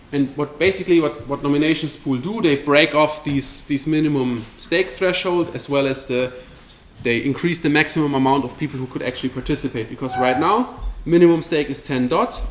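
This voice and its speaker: Noticeable background noise sits behind a man who talks fairly quickly in a fairly high pitch. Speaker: crypto company presenter. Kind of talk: presentation at a meetup. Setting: meetup with live audience. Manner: fast.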